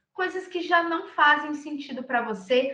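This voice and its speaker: A woman's raised, projected voice, high-pitched with a bright, sharp tone, ordinary pitch variation, a fairly slow pace and audible room echo. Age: 20s. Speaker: recruiter. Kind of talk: lecture.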